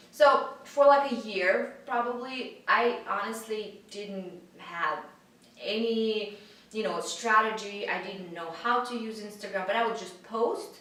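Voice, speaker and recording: In a Russian accent, a woman with a fairly high pitch speaks at a fairly slow pace, with ordinary pitch variation, big swings in loudness, audible room echo and noticeable background noise. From Russia, Siberia. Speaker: fitness influencer. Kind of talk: interview. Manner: halting, many fillers.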